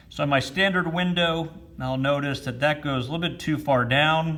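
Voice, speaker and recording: The room gives off an audible echo. A man's voice is heard within it. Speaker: math teacher. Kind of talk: lecture.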